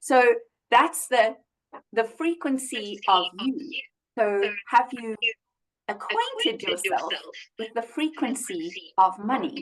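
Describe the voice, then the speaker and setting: A loud woman with a high pitch and lively intonation speaks very slowly, with long, frequent pauses. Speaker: money coach. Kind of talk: casual chat. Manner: animated.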